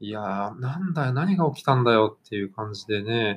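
A man speaks in a plain, everyday voice with medium pitch. His pace is moderate and his intonation lively. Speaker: football podcast host. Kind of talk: casual chat.

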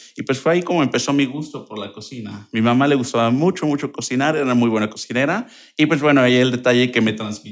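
In a very clean recording with a silent background, a man races along at a very fast pace with hardly any pauses, at medium pitch with ordinary pitch variation. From Mexico, Querétaro. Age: 20s. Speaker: language teacher and translator. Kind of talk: interview.

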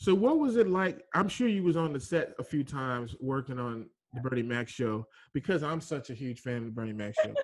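This is a plain, everyday voice with an American accent. It moves at a fairly quick pace with lively intonation. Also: man, medium pitch for a man. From Dallas, Texas. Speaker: podcast host. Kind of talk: interview. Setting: studio.

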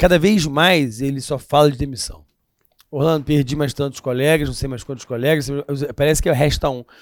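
A man talks in a normal speaking voice at a moderate pace. His fairly high pitch shows ordinary variation. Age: 40s. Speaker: history and current affairs teacher. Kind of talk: casual chat.

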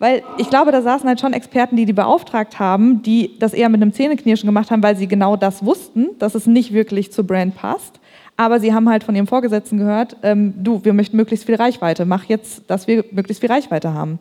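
Speaking at a fairly quick pace with hardly any pauses, a woman uses a fairly high pitch, a dark, mellow tone and ordinary pitch variation. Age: 30s. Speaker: marketing agency founder. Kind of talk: panel discussion. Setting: stage with audience.

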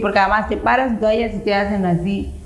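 A woman speaks at a medium pitch with fairly even intonation. Audible room echo and noticeable background noise fill the recording. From Yucatán, Mexico (Chicxulub). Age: 50s. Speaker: runner. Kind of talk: interview.

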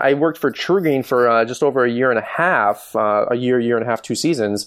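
Against a quiet background, a man with an American accent speaks in an unremarkable speaking voice at medium pitch and a fairly quick pace, with very even loudness and ordinary pitch variation. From Michigan. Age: 30s. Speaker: lawn care business owner and YouTuber. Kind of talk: interview.

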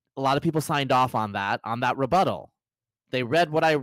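Recorded very clean against a silent background, a man with an unremarkable speaking voice talks at a fairly quick pace and medium pitch, the sound dry and close with no echo. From US, Bangladeshi-American family. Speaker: writer on population genetics. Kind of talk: casual chat. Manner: fast, filler-heavy.

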